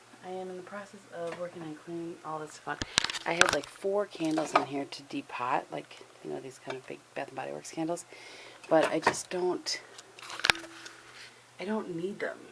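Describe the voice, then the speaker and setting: Soft-spoken, the voice comes with long, frequent pauses, big swings in loudness and ordinary pitch variation. Noticeable background noise runs underneath. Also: woman, fairly low pitch for a woman, moderate pace. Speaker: lifestyle vlogger. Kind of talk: casual vlog.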